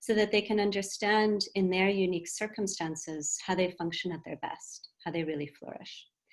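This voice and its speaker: In an American accent, a woman speaks at a medium pitch and a moderate pace, with fairly even intonation and hardly any pauses. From USA and Britain. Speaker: wellbeing and mindfulness consultant. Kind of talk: webinar presentation.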